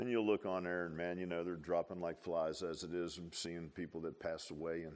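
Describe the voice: A man speaks at a fairly quick pace in a low pitch, with a slightly mellow tone. His pitch barely moves.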